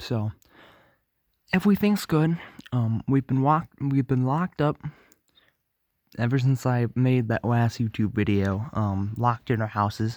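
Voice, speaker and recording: Quiet and very even in loudness, a man speaks fairly slowly with lively intonation and long, frequent pauses, in a dry, close sound with no echo on a very clean recording with a silent background. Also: medium pitch for a man. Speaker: vlogger. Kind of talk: casual vlog update. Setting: at home at night. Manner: halting.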